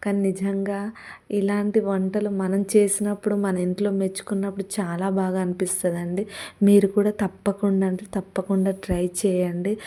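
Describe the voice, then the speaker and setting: A woman's dark, mellow voice at a medium pitch, monotone and flat in intonation, in a very clean recording with a silent background. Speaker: vlogger. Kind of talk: casual vlog cooking narration. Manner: loud.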